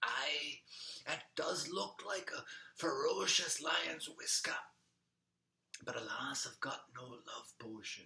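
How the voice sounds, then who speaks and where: Whispering in a put-on character voice, a man goes at a fairly slow pace with long, frequent pauses. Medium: read story. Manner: calm, knowing.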